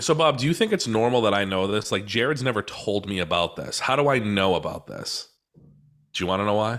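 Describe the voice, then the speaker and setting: With an American accent, a man uses a plain, everyday voice, fairly low in pitch, with lively intonation and a fairly quick pace, on a very clean recording with a silent background. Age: 30s. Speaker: podcaster. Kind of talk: casual chat.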